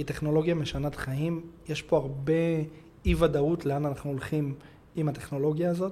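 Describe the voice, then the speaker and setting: Fairly high-pitched man with a dark, mellow, somewhat breathy tone, monotone, flat intonation, a fairly quick pace and long, frequent pauses. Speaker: cybersecurity consultant. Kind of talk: interview.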